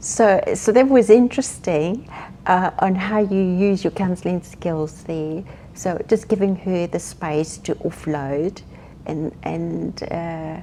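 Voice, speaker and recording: Very slowly, a woman speaks in a dark, mellow tone at a fairly low pitch with ordinary pitch variation and big swings in loudness. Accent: South African. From South Africa. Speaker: grief counsellor. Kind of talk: interview.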